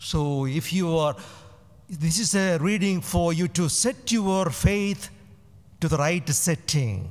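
Against a quiet background, a man speaks at a very slow pace with a high pitch. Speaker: priest. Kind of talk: homily. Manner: rhetorical, emphatic, repeating words for effect. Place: church. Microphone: podium.

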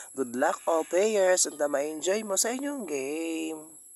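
Lively intonation at a fairly slow pace, with a dry, echo-free sound and a quiet background. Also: man. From Philippines. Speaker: vlogger. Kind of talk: vlog narration. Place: hall. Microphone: phone near.

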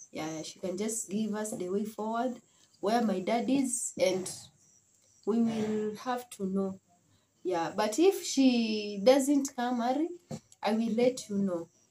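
A woman speaks very slowly with long, frequent pauses, her fairly high, somewhat breathy voice dark and mellow in tone, lively in intonation, over light background noise. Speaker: vlogger; family vlogger. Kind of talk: casual vlog talk. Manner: halting. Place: home room. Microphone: phone near.

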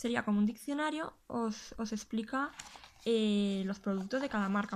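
A woman speaks at a moderate pace in a somewhat breathy voice. Her pitch varies in an ordinary way. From Spain, Huesca (Aragon); Aragon, Spain. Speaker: YouTuber and gluten-free food blogger; YouTuber, gluten-free food blogger. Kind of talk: casual video tutorial, show-and-tell. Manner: hesitant, with frequent repetitions. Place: home room.

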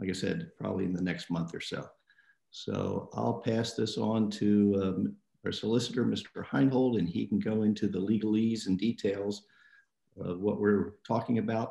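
A man talks at a moderate pace in a fairly low pitch with vocal fry, a dark, mellow tone and ordinary pitch variation. The background is quiet, though some room echo can be heard. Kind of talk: meeting opening remarks. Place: home room. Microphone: video call.

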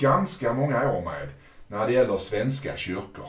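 There is audible room echo around a man's somewhat breathy voice. His pitch varies in an ordinary way. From Sweden, Malmö; Sweden. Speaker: interviewer. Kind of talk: interview. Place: home room.

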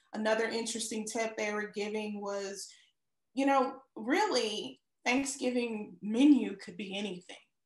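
Ordinary pitch variation, a quiet background and audible room echo. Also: woman, big swings in loudness. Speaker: show co-host. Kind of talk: casual talk show chat. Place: home room. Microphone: video call.

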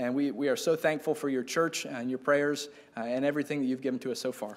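A man is speaking here. His pace is very fast. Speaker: missionary. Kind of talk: testimony. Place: church. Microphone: podium.

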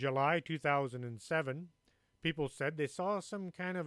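An ordinary speaking voice with lively intonation at a fairly slow pace, in a very clean recording with a silent background. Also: man. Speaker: radio show host and author. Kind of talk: ghost story telling, spooky narration of Mothman sightings in a hushed, foreboding tone. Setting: radio studio.

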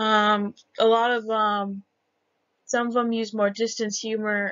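A woman's fairly high voice, monotone and flat, at a fairly slow pace. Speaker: college student. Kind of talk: class presentation. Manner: hesitant, with fillers and stutters.

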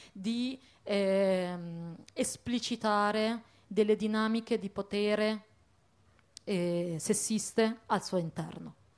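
Her intonation stays mostly level, fairly even throughout. The voice belongs to a woman. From Italy, Bologna; Italy. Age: young. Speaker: activist; speaker. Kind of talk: panel discussion. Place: stage. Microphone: handheld.

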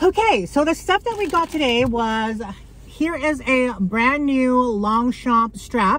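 Recorded with a dry sound with no echo, a woman speaks at a very slow pace. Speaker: thrift haul vlogger. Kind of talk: casual vlog chat. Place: car. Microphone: phone near.

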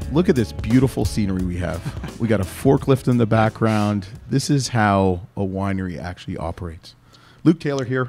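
Faint music plays behind a man speaking in a fairly low pitch. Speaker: podcast host. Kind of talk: interview chat. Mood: jokey, laughing. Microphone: studio mic.

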